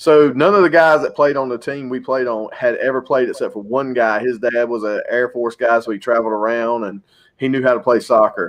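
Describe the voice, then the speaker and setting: A man with a Southern US accent talks at a fairly quick pace with hardly any pauses. His pitch is medium and varies an ordinary amount. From North Carolina. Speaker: podcast co-host. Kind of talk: casual chat.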